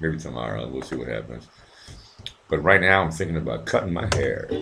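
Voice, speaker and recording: Soft-spoken yet lively in intonation, a man with a very deep, low pitch talks amid audible room echo and music in the background. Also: fairly quick pace. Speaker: livestream host. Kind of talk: casual chat.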